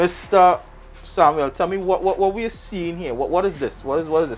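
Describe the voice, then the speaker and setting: Music can be heard in the background. The talking is fairly quick, and its pitch varies in an ordinary way. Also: man. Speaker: TV presenter. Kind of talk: TV field report presentation and interview. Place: workshop.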